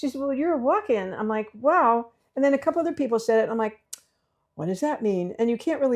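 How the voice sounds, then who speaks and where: A woman's very fast, lively-intoned speech against a quiet background. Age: 80s+. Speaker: numerologist. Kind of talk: casual chat. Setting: host's apartment.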